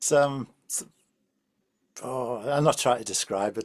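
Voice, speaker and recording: With an English accent and ordinary pitch variation, the voice comes through in a dry, close sound with no echo. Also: man. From England. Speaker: podcast host. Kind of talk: interview.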